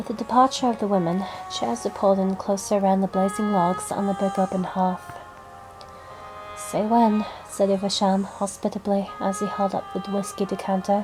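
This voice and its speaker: A woman with fairly even intonation, music in the background. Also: medium pitch for a woman, moderate pace. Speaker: hobbyist audiobook reader. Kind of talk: audiobook narration with character dialogue.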